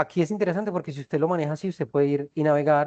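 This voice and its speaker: The sound is dry and close, with no echo. The tone is dark and mellow, and the pitch moves in an ordinary way. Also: man. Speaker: university physics lecturer. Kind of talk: online lecture. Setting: video conference class. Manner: fast.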